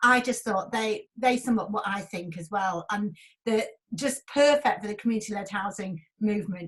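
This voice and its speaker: With a Yorkshire accent, a woman speaks in a somewhat breathy voice. Her pitch is fairly high, with ordinary variation. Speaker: event host and broadcaster. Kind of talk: online event moderation. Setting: video call.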